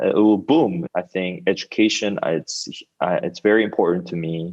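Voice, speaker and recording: This man speaks with a Korean accent. His pace is moderate. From South Korea. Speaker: startup founder. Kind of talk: interview.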